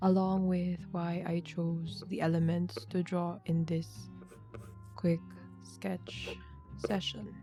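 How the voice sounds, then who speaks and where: Soft-spoken and calm in tone, the speaker goes at a very slow pace with long, frequent pauses while music plays in the background. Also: woman. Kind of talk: ASMR sketching chitchat, soft-spoken narration of drawing process. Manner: soft-spoken, calm.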